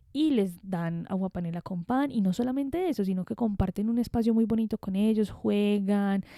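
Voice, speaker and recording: With a strong Medellín accent, a woman speaks at a moderate pace in a dark, mellow tone. Her pitch is medium with ordinary variation. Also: hardly any pauses. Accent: strong Medellín (paisa). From Colombia, Medellín. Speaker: podcast host. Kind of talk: reflective monologue. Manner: conversational.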